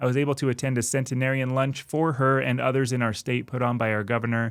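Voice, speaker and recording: The delivery comes very fast, with monotone, flat intonation and very even loudness. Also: man, medium pitch for a man. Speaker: retirement planning channel host. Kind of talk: casual talk to camera.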